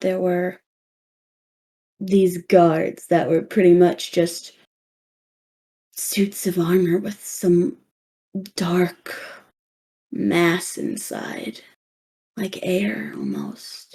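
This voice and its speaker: A woman puts on a raspy character voice, fairly low in pitch with ordinary variation. She speaks very slowly, with long, frequent pauses. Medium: actual play. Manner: hesitant, rambling, with nervous laughs.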